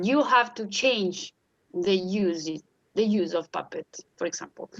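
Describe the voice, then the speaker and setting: Heard in a dry, close sound with no echo, a woman with an Italian accent speaks with very wide pitch swings. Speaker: puppeteer, primary school teacher, art therapy doctoral student. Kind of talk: interview answer. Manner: hesitant, disfluent.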